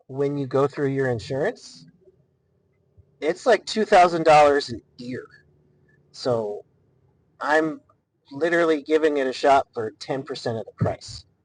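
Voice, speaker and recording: A quiet man mumbles at a fairly high pitch with ordinary pitch variation. His pace is fairly slow, with long, frequent pauses and big swings in loudness. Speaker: solo podcast host. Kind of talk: casual monologue. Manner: mumbling. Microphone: poor mic, sound quality issues.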